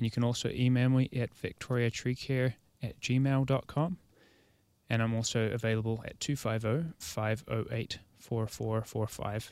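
A man speaks at a moderate pace with a New Zealand accent, his pitch medium and his intonation fairly even. The recording is very clean, with a silent background. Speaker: arborist. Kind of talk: casual chat. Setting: studio.

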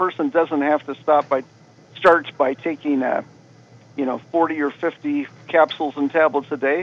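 This man has an ordinary speaking voice, pitched fairly high, moving at a fairly slow pace with ordinary pitch variation. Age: 60s. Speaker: supplement company representative. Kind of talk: radio interview.

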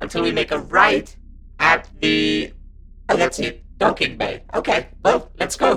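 In a put-on character voice, someone speaks raspily at a fairly slow pace over clear background noise. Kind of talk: genteel comic understatement. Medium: audio drama. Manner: polite, prim, gently fussy.

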